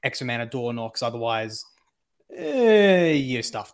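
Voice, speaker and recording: Medium in pitch, a man speaks with an Australian accent. The recording is very clean, with a silent background. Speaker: co-streamer. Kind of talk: casual chat.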